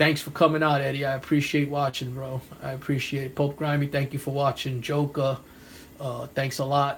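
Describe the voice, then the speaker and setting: A man with a New York accent, fairly high pitch, a fairly quick pace, monotone, flat intonation and a somewhat breathy sound. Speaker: comic book collector and YouTuber. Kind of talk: live stream chat. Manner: casual, rambling with fillers.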